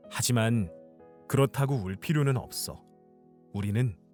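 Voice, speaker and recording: Music plays in the background as a man talks at a medium pitch. His intonation is lively and his pace moderate. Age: young. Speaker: audiobook reader, aspiring voice actor. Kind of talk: fairy-tale narration with character voices.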